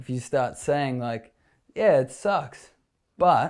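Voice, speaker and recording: A man with a New Zealand accent speaks at a medium pitch and a fairly slow pace. The recording is very clean, with a silent background. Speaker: florist. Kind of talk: interview answer. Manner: casual.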